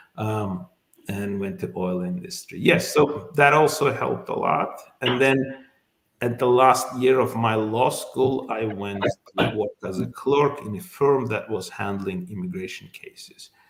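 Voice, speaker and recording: With an Azerbaijani accent, a man speaks at a medium pitch with lively intonation and big swings in loudness. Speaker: immigration lawyer. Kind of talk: interview. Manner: halting, many fillers.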